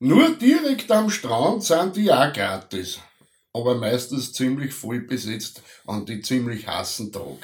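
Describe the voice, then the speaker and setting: In an Austrian accent, a man speaks at a very slow pace and medium pitch, with very wide pitch swings and big swings in loudness. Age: middle-aged. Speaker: podcast co-host. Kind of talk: casual chat. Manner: halting.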